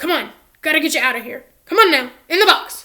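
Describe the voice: In a put-on character voice, a woman speaks hoarsely at a very fast pace, her pitch extremely high and her intonation lively.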